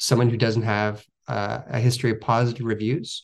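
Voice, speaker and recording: Against a quiet background, a man with an ordinary speaking voice talks at a medium pitch with fairly even intonation. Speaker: company spokesperson. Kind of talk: radio interview.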